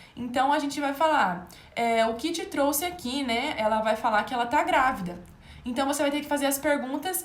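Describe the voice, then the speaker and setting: Audible room echo surrounds a woman's high-pitched voice. She talks at a moderate pace with lively intonation. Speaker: medical exam tutor. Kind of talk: live online lecture. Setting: livestream.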